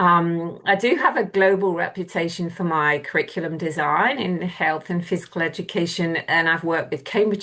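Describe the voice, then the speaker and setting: A woman with an English accent at a moderate pace, with fairly even intonation. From southwest England (Plymouth). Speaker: university lecturer. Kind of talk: lecture. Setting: video call.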